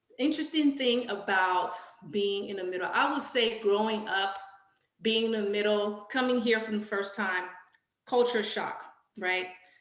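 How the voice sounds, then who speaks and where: Audible room echo surrounds a woman speaking at a moderate pace in a fairly high voice with ordinary pitch variation. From Liberia, Monrovia, moved to US around age nine. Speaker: storytelling panelist. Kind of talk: personal storytelling on a panel.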